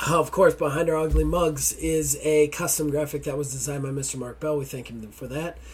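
A tired-sounding man at a fairly quick pace, with big swings in loudness and noticeable background noise. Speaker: podcast host. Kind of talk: casual banter podcast. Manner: irritated, grumpy, swears a lot; tired, low energy.

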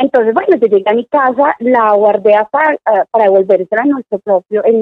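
The woman talks at a moderate pace, her fairly high voice showing ordinary pitch variation. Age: 30s. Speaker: psychologist. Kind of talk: casual interview.

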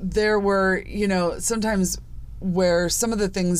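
Room echo is audible around a woman with an American accent. Her pitch is medium. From US Midwest, Chicago suburbs. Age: 40s. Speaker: podcast host. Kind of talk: personal monologue podcast. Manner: casual, conversational.

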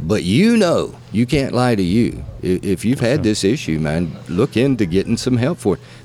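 A man with a Southern US accent and lively intonation. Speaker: podcast host. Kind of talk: casual interview chat. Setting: on location at venue.

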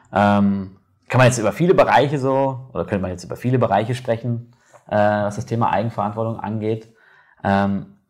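A man with a fairly low pitch and an unremarkable speaking voice talks at a fairly quick pace with ordinary pitch variation, in a very clean recording with a silent background. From Germany. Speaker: podcast host. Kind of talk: casual interview. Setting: on camera.

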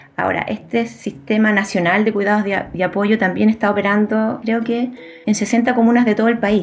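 A woman's fairly high voice at a moderate pace, with fairly even intonation and very even loudness, over noticeable background noise. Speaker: sociologist, researcher. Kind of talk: interview about research.

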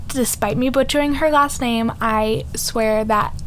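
At a slow pace, a woman speaks with a fairly high pitch.

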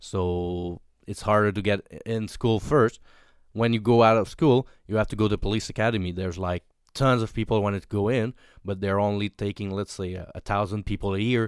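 On a very clean recording with a silent background, a man with a Quebec accent speaks fairly quickly in a fairly low voice with fairly even intonation. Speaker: police officer. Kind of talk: casual chat.

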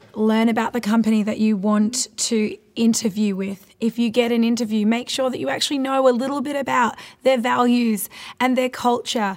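The voice is a normal speaking voice at a moderate pace with fairly even intonation. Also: woman, fairly high pitch for a woman. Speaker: podcast host. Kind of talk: casual interview.

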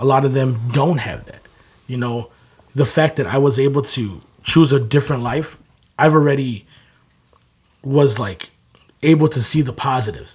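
The man's voice is somewhat breathy and sits at a medium pitch. He speaks at a moderate pace with ordinary pitch variation. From southeast side of Chicago. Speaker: clothing brand founder. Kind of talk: casual interview conversation.

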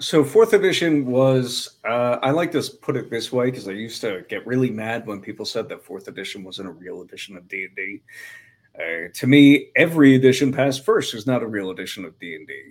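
This man has a normal speaking voice, medium in pitch, with lively intonation. He talks at a moderate pace, and his loudness swings widely. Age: 20s. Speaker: YouTuber and game master. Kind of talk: casual chat.

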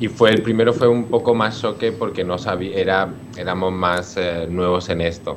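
Over noticeable background noise, a man with a very deep, low pitch speaks at a moderate pace with fairly even intonation. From Spain, Alicante province (San Fulgencio). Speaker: dance company director. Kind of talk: radio interview. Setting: remote connection. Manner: halting, with repetitions.

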